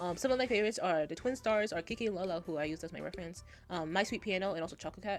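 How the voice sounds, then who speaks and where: A woman speaks soft-spoken at a very fast pace. Her pitch is medium, with ordinary variation. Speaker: art youtuber. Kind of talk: casual voiceover commentary. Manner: hesitant.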